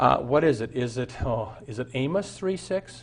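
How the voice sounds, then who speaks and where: A man speaks at a medium pitch and a fairly slow pace. His voice is somewhat breathy, with very wide pitch swings. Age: 60s. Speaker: pastor. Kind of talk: sermon.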